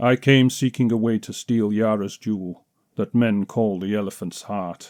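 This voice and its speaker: A man puts on a character voice at medium pitch, using fairly even intonation and a moderate pace. The recording is very clean and dry, close with no echo, over a silent background. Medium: read story. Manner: low.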